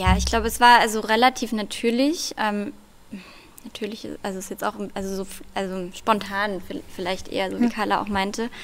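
Woman at a moderate pace with fairly even intonation. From Germany, Russian-German family. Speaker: poet; debut poet. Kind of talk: poetry reading; interview answer and poetry reading. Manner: hesitant with many fillers when talking. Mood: calm, thoughtful. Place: stage. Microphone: podium.

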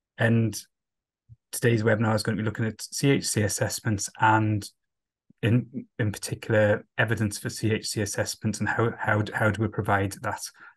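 A man's fairly low voice with a slightly husky edge and little pitch movement. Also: moderate pace.

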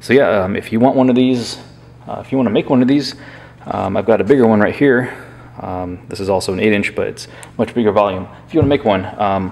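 The speaker is a man with a very fast pace. His pitch variation is ordinary. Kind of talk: casual tutorial commentary. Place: workshop.

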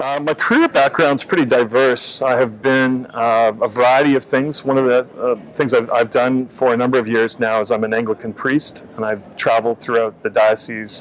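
Faint background noise sits behind a man with a medium pitch and fairly even intonation. He keeps a moderate pace with few pauses.

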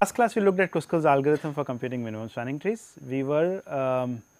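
A man talks at a very fast pace. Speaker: university lecturer. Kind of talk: lecture. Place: studio. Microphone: lapel.

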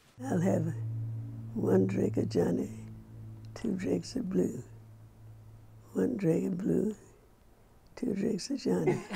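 A woman speaks at a very slow pace, leaving long, frequent pauses. Light background noise sits behind her. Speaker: restaurant owner. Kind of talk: interview answer. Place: home room. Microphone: lapel.

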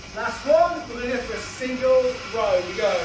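The speech moves at a fairly slow pace while clear music plays in the background. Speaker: fitness instructor. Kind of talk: workout class cueing. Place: gym.

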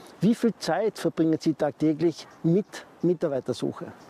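A man's high-pitched voice, dry with no echo, over light background noise. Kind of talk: advice talk to camera. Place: garden. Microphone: lapel.

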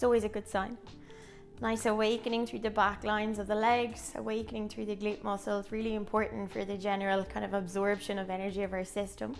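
Over faint music in the background, a woman talks at a very fast pace in a monotone, flat intonation. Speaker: pilates instructor. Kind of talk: exercise class instruction. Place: home room.

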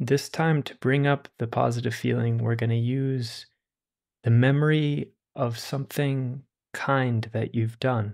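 A man with an ordinary speaking voice talks at a fairly slow pace with medium pitch and fairly even intonation. The recording is very clean, with a silent background. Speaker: meditation teacher. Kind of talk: guided meditation. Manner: slow, gentle invitations to relax and savor warm feelings; soft-spoken, calm and soothing.

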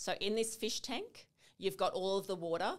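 A woman with an Australian accent speaks at a moderate pace with fairly even intonation against a quiet background. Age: 40s. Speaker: naturopath, lymphatic specialist; guest. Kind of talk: interview, explaining. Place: studio. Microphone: studio mic.

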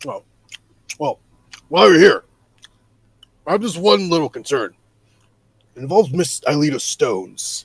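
A man uses a put-on character voice in a high pitch at a moderate pace. Long, frequent pauses break up his speech. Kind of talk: improvised character dialogue.

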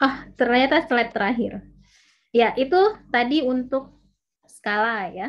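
A woman at a very slow pace, high in pitch with lively intonation, over a quiet background. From West Sumatra, Indonesia; Indonesia. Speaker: university lecturer. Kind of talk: online lecture. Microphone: video call.

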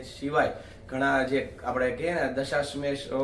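Medium-pitched male voice with audible room echo and noticeable background noise. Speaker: travel vlogger. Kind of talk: travel vlog narration.

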